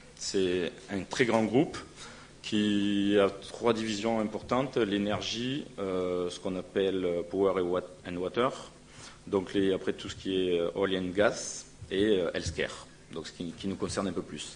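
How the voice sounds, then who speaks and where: A man talks in a northern French accent at a very slow pace. His voice sits fairly low, with fairly even intonation. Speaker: pharmaceutical company representative. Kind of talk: conference presentation. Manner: halting, many hesitations.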